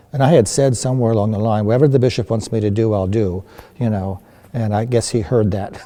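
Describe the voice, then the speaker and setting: Over noticeable background noise, a man speaks at a very fast pace with an American accent. His pitch is medium, with ordinary pitch variation. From Philadelphia area, then Delaware. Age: 70s. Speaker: retired priest. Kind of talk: interview, life story.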